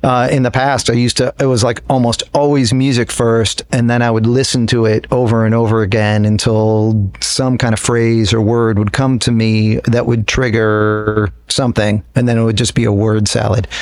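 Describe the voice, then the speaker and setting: With an American accent, a man speaks in a flat monotone at very even loudness, with hardly any pauses. Noticeable background noise runs under the recording. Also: medium pitch for a man, moderate pace. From upstate New York. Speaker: guitarist in a jam band. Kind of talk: casual interview.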